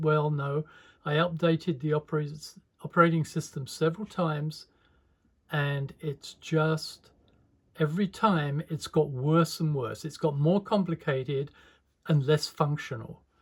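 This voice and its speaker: His voice somewhat breathy and fairly high in pitch, a man speaks at a moderate pace with fairly even intonation. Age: 70s. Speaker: animator and video creator. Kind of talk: casual tutorial demo.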